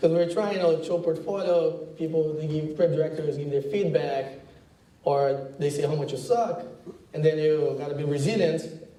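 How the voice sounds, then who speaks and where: With a Brazilian accent and a fairly high pitch, a man talks amid audible room echo and noticeable background noise. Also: fairly even intonation, moderate pace. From Brazil, countryside outside São Paulo. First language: Portuguese. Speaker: advertising creative director. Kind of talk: talk to students. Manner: casual, halting with fillers.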